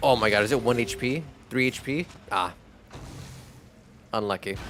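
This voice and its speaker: Music plays in the background as the speaker talks with ordinary pitch variation. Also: man, medium pitch for a man, moderate pace. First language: Spanish. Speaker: video game streamer. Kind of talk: live gameplay stream chat.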